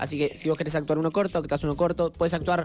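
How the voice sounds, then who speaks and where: With music in the background, a man in a Rioplatense accent talks at a very fast pace in a fairly high pitch. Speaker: podcast co-host. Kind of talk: casual chat. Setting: studio.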